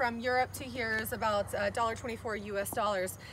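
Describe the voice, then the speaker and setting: Amid noticeable background noise, a woman speaks at a fairly slow pace with ordinary pitch variation in a dry sound with no echo. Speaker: presenter. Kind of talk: casual product walkaround. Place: street. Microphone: phone near.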